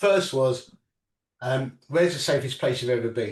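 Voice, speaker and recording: A man speaks with an English accent. His intonation is lively and his voice somewhat breathy. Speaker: inventor and entrepreneur with Parkinson's. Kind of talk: interview. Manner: halting.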